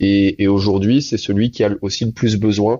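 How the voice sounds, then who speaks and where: An ordinary speaking voice carries fairly even intonation throughout. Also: man. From Réunion. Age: 30s. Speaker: entrepreneur. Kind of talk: interview.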